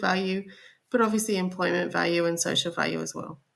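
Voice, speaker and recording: A woman speaks in an Australian accent. Her pitch sits in the medium range. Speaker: corporate sustainability director. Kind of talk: podcast interview.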